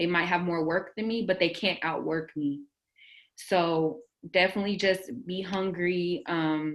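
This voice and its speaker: A woman speaks in a plain, everyday voice. Her pitch is fairly low and her intonation fairly even. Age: young. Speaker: music journalist. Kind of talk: panel discussion.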